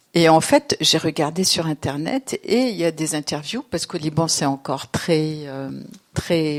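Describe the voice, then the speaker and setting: In a dry, close recording with no echo, a woman with a fairly low pitch speaks at a fairly slow pace with ordinary pitch variation. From Lebanon. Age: 60s. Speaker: novelist and theatre director. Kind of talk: literary interview. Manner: hesitant, many fillers.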